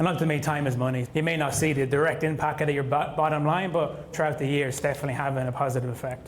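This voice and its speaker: A man with an Irish accent and a fairly high pitch, very fast and flat in a monotone, with hardly any pauses, audible room echo and noticeable background noise. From Ireland. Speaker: construction contracts manager. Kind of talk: panel interview before live audience.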